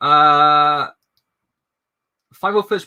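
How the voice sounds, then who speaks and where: With a Welsh accent, a man speaks at a fairly high pitch. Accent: Welsh, noticeable. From Wales. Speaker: streamer. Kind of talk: casual chat. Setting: live stream.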